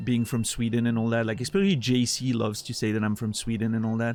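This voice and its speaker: The speaker has a strong French-Swiss accent and moves at a fairly quick pace. Noticeable background noise runs underneath. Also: man. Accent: thick French-Swiss. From Switzerland. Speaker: video game streamer. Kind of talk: casual live-stream chat. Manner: casual, frequent stammering repetitions.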